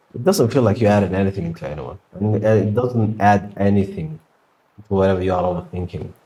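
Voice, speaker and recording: A man's fairly low, somewhat breathy voice with a dark, mellow tone and a fairly quick pace. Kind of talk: casual talk to camera. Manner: rambling, conversational.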